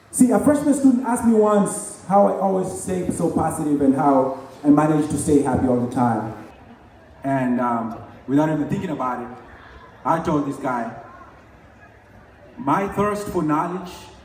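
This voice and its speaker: A man with a fairly high-pitched voice speaks at a moderate pace with very wide pitch swings and long, frequent pauses, over noticeable background noise and audible room echo. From Kenya, Nairobi. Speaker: graduating student. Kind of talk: commencement speech. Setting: stage with audience.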